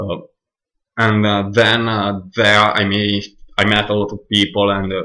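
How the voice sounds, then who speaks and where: Speaking at a very slow pace, a man uses a bright, sharp tone with an Italian accent. His intonation stays monotone and flat. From Northern Italy, near Milan. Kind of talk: casual monologue, audio recording. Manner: hesitant, many fillers.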